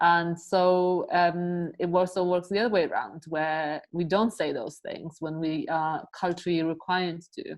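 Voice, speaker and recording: A woman with a Polish accent speaks at a fairly slow pace in a fairly low pitch, with fairly even intonation, hardly any pauses, and a quiet background. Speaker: podcast host. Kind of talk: casual chat.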